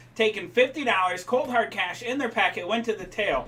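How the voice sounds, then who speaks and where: A man with a Boston accent speaks in a raised, projected voice at a moderate pace, with noticeable background noise behind him. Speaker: race broadcast announcer. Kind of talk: live race broadcast. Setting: announcer booth. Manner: animated.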